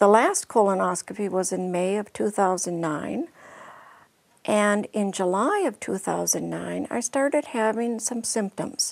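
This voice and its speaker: A woman speaks at a fairly slow pace in an unremarkable speaking voice. Her pitch is medium, with ordinary pitch variation. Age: 60s. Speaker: patient. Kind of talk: testimony.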